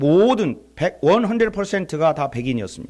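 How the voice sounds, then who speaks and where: Lively intonation from a man with a Chungcheong accent, in a very clean recording with a silent background. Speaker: visiting pastor at revival meeting. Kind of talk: sermon. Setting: church. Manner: animated storytelling.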